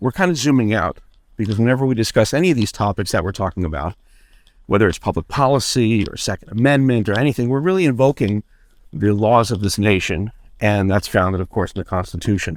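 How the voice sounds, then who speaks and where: With lively intonation and a fairly low pitch, a man speaks very fast in a very clean recording with a silent background. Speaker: podcast co-host. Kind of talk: casual chat. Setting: outdoors, walking.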